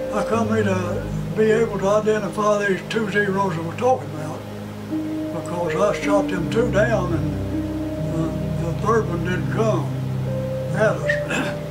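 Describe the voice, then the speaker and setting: As the man talks, music plays clearly behind him. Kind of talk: interview answer. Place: office.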